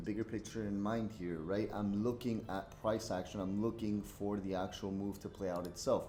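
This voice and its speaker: A man speaks at a fairly quick pace in a dark, mellow tone. His pitch is fairly low, and audible room echo surrounds the voice. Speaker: forex day trader. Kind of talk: live trading commentary. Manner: casual, filler-heavy.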